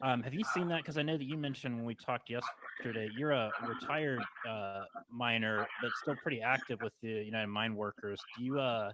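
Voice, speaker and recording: Over noticeable background noise, a man talks fairly quickly at medium pitch with ordinary pitch variation. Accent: American. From West Virginia, Parkersburg. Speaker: podcast host. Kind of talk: interview.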